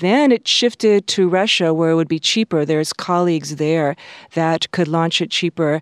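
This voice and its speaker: In a very clean recording with a silent background and a dry, close sound with no echo, a woman with a plain, everyday voice speaks at a moderate pace, her fairly low pitch showing ordinary variation and her loudness very even. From Hawaii and California, US. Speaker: planetary scientist. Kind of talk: interview. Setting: studio.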